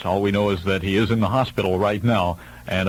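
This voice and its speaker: This man has an unremarkable speaking voice with an American accent. He talks at a fairly quick pace with fairly low pitch. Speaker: radio disc jockey. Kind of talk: AM radio DJ break with news updates.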